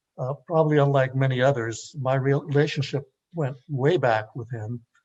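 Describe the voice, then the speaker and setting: A man with an American accent speaks at a moderate pace in a medium pitch, his voice somewhat breathy and his intonation fairly even. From Los Angeles, East LA. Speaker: panelist, former student activist. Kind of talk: panel discussion. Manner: halting, many filler sounds.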